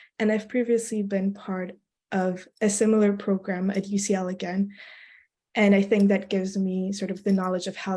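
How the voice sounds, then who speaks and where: A woman's medium-pitched, somewhat breathy voice with a dark, mellow tone and monotone, flat intonation, at a moderate pace against a quiet background. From Belgium. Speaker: student election candidate. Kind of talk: interview. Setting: video call.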